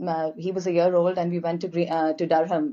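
In an Indian accent, a woman speaks at a moderate pace. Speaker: guest, spouse of a host. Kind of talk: casual chat.

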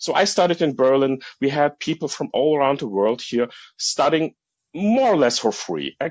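A man speaks with a German accent at a moderate pace. His pitch is fairly high and his intonation lively. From Germany. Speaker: caller, medical school graduate. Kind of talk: casual chat. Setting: call-in via app. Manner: halting.

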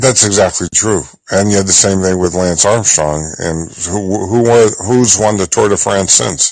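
A man with an ordinary speaking voice, fairly low in pitch, ordinary pitch variation, at a fairly slow pace. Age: 60s. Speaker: caller with sports locker room background. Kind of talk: call-in discussion.

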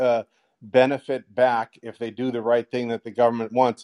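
Heard in a dry, close sound with no echo, a man speaks at a medium pitch and a fairly quick pace, his tone dark and mellow. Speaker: caller, fan of host. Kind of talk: call-in question. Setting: app call-in.

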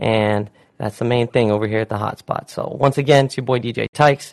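A man with an American accent talks at a fairly quick pace in a normal speaking voice. His intonation is fairly even, and the sound is dry and close with no echo. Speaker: radio DJ host. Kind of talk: casual radio interview. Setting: studio. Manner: laid-back, filler-heavy.

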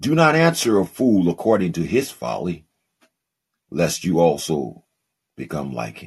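The voice moves at a fairly slow pace with vocal fry and long, frequent pauses. Its pitch swings very widely, and its loudness shifts in big swings. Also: man, very deep, low pitch for a man. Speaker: podcast host and preacher. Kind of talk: live call-in Bible teaching and preaching. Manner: warm, fervent, animated preacher cadence with call-and-response amens.

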